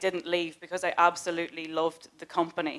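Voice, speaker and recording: Speaking at a fairly quick pace, a woman keeps her fairly low pitch in fairly even intonation. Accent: Northern Irish. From Northern Ireland, Newry, County Down. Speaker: customer service team leader. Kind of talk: recruitment presentation. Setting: stage with audience.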